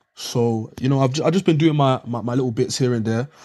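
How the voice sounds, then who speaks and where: A man at a medium pitch, talking very fast with fairly even intonation, on a very clean recording with a silent background. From South London, England. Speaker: NFT investor. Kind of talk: casual chat. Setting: live audio chat room.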